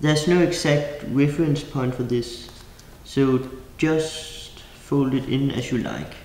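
Amid audible room echo, a man with a fairly high pitch speaks at a very slow pace in fairly even intonation. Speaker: origami designer. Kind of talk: craft tutorial instructions.

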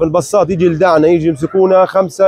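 A man at a fairly quick pace, dry with no echo, against a quiet background. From Gaza, Palestine; Palestine. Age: 20s. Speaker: released detainee. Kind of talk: testimony. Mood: grave, recounting abuse. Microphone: lapel.

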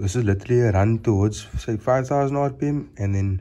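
His voice is dark and mellow, somewhat breathy, with lively intonation. The man keeps a moderate pace. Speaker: car enthusiast vlogger; car builder vlogger. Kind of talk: casual vlog update. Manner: hesitant, many fillers. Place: garage. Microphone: phone near.

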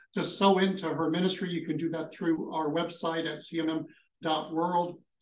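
Against light background noise and audible room echo, a man speaks at a moderate pace in a high pitch with monotone, flat intonation. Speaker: ministry school host. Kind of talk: panel discussion and prayer. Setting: live session with online audience. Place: home room.

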